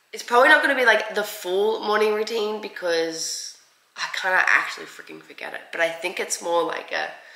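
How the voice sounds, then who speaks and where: A woman talks at a fairly quick pace with ordinary pitch variation, big swings in loudness and audible room echo. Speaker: vlogger. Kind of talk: casual vlog chat. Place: kitchen. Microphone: phone near.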